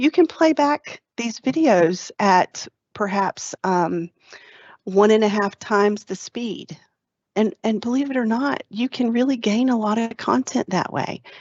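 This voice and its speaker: Lively intonation at a fairly slow pace, in a Southern US accent. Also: woman, fairly high pitch for a woman. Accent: Southern drawl. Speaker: tech trainer hosting webinar. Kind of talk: webinar presentation.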